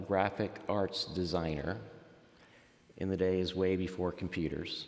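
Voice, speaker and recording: Recorded with audible room echo, a man speaks at a fairly low pitch. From Miami, Florida (Cuban-American family). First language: Spanish. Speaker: faith story guest, professional. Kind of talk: interview testimony. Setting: church nave.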